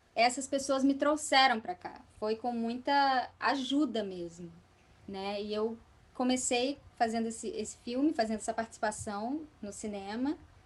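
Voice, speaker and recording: Fairly slow and with ordinary movement in pitch, an ordinary speaking voice is heard. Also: woman, fairly high pitch for a woman. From Espírito Santo, Brazil. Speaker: actress, voice actress and singer. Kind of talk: podcast interview answer.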